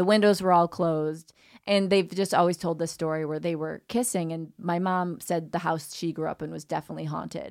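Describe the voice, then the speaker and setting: In a very clean recording with a silent background, a woman with a fairly low pitch and a normal speaking voice talks at a fairly quick pace with fairly even intonation and hardly any pauses. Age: 40s. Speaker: comedian and dating coach. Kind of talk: casual chat.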